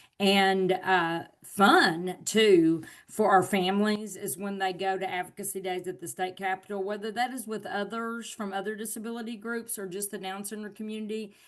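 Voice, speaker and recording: A woman with a Southern US accent speaks with ordinary pitch variation over a quiet background. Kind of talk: webinar presentation.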